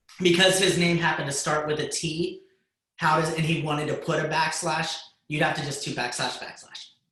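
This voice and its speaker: In a room with audible echo, a man talks at a fairly quick pace with a fairly high pitch and monotone, flat intonation. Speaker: high school computer science teacher. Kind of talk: lecture. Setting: video call.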